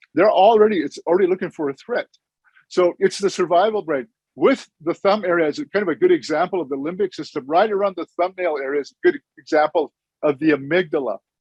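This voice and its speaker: A man with a high pitch and an American accent, very fast pace, ordinary pitch variation, dry, close sound with no echo. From Blackfeet reservation, northwest Montana. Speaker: clinical social worker. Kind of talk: conference talk.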